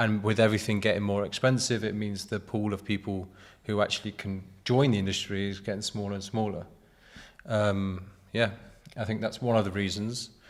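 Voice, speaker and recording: Over a very clean recording with a silent background, a man in a British accent talks fairly quickly at a fairly low pitch, his intonation flat and monotone. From Britain. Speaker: graphic designer. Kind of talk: casual chat.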